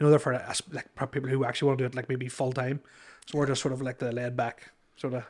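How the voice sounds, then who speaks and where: The man's intonation is monotone and flat. He talks very fast at a medium pitch. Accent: Irish. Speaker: comedian. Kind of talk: casual chat. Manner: halting.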